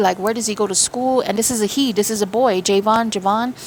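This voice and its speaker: A woman's fairly high voice at a very fast pace, with noticeable background noise. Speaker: spiritual medium. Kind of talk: channeled spiritual reading. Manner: animated.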